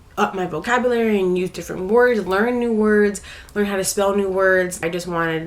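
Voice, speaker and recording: Over noticeable background noise, a woman speaks at a fairly quick pace. Her intonation stays fairly even. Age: 20s. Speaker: vlogger. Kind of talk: personal vlog. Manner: hesitant, many fillers.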